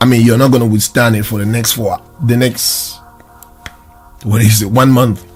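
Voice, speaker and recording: With music in the background, a man speaks at medium pitch and a moderate pace, using fairly even intonation. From Southern Cameroon (Ambazonia). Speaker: video production studio owner. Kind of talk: interview answer. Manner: optimistic.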